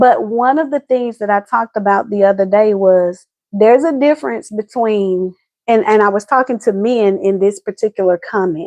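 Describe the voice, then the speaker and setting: A woman with an American accent talks at a moderate pace, her fairly high pitch showing ordinary variation. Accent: Southern US accent noted by viewer. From US South, Atlanta, Georgia. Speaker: relationship advice host. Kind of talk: casual livestream chat. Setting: live video stream.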